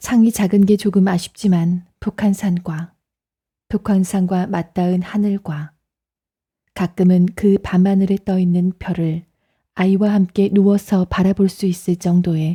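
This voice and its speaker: A woman's very slow, calm, soothing voice, dark and mellow in tone, somewhat breathy, medium in pitch and monotone, on a very clean recording with a silent background. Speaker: audiobook narrator. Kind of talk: audiobook reading.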